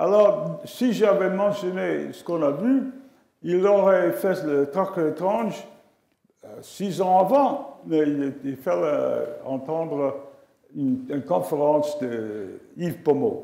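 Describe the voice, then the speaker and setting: A man with an English accent and a high pitch, very slow, with very wide pitch swings, big swings in loudness and audible room echo. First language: English (speaking French). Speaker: astrophysicist. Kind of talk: memorial lecture. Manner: halting.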